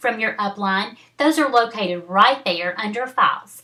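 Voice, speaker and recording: A woman with a Southern US accent talks at a fairly high pitch with lively intonation. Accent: Southern accent, noticeable. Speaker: network marketing team leader. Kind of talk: training video. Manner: casual, halting with fillers.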